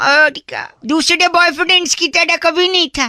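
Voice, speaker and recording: The voice sits at an extremely high pitch and moves along at a fairly slow pace. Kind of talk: FM radio jockey. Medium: game stream. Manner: cheeky, teasing.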